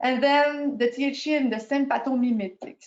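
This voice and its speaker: A woman with a strong French accent. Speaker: periodontist. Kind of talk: lecture. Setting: video call.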